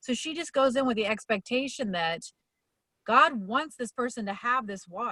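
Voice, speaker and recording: A woman talks in a normal speaking voice at a moderate pace with lively intonation. The sound is dry and close with no echo. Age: 50s. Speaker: motivational coach. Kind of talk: casual talk.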